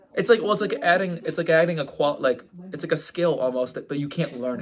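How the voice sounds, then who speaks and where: Talking at a very fast pace, a man uses a high pitch with ordinary pitch variation. There is noticeable background noise. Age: 20s. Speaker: podcast co-host. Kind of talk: casual chat. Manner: animated.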